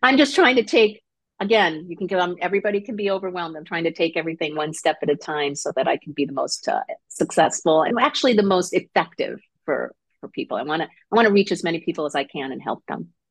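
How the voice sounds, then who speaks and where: Against a quiet background, a woman with an American accent speaks at a very fast pace with ordinary pitch variation. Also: big swings in loudness. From Connecticut. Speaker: life coach. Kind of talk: interview.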